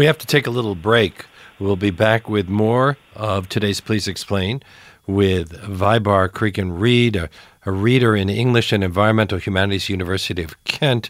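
In an ordinary speaking voice, a man talks at a moderate pace, his pitch fairly low with ordinary variation. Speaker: radio talk show host. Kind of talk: radio interview. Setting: radio studio.

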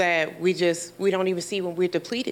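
A woman with an American accent speaks with monotone, flat intonation. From US Midwest (inner-city Milwaukee). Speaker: mental health clinician. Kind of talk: live interview in front of studio audience. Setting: studio with live audience.

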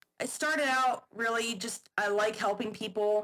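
A woman's fairly high voice at a fairly slow pace. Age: 20s. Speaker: fitness model and nutrition coach. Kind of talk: casual chat.

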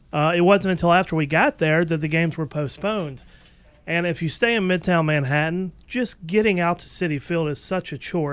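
This man's voice is high in pitch. He talks fairly fast. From US South. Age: 40s. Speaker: podcast producer and engineer. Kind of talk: casual chat.

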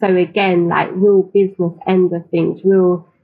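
The speaker has a London accent. The pace is very slow. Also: woman. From East London (Tower Hamlets), England. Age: 30s. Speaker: publisher and agency founder. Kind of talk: interview conversation.

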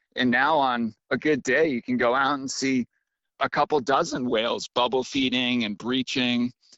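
Here is a man with an unremarkable speaking voice and an American accent. He talks at a medium pitch and a moderate pace, with fairly even intonation. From Massachusetts, Cape Cod. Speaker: fishing content creator. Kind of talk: interview.

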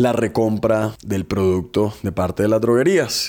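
Here is a man with an ordinary speaking voice. His pitch is medium and his pace fairly slow. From Colombia, Barranquilla (Caribbean coast). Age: 30s. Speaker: entrepreneur, company founder. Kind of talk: interview testimony.

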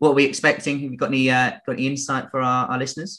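Against a quiet background, a man with an English accent speaks in a bright, sharp tone. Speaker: podcast host, trading educator. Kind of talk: casual market discussion podcast.

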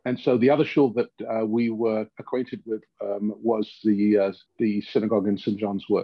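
At a moderate pace, a man speaks with a fairly low pitch. His intonation stays fairly even. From London, England. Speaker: rabbi. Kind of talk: interview conversation.

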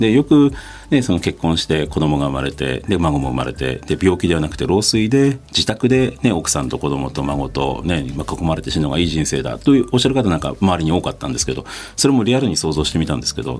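Very wide pitch swings and a very fast pace mark this voice, heard over noticeable background noise. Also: man, very deep, low pitch for a man. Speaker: NGO founder. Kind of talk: interview. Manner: hesitant.

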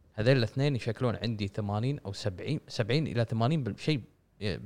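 The speaker has a Kuwaiti accent, ordinary pitch variation and a moderate pace. The recording is very clean and the background silent. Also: man. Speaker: video game podcast co-host. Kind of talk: casual chat.

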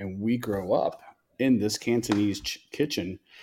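This man has an ordinary speaking voice, fairly low in pitch, and keeps a moderate pace. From Tampa, Florida (born in Chicago, Cuban parents). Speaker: barbecue restaurant and grill shop owner. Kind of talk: casual interview chat.

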